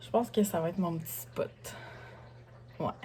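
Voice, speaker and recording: A woman with a Quebec accent at a moderate pace. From Lévis, Quebec. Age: 30s. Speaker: single mother vlogger. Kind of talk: casual haul vlog talk to camera.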